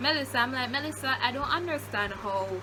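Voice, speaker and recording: With a Jamaican accent, a woman speaks over noticeable background noise. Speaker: YouTuber. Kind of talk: storytime. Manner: animated.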